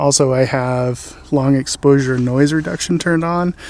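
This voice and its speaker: The man is soft-spoken. His intonation stays fairly even. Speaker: landscape photographer. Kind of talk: tutorial. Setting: outdoors.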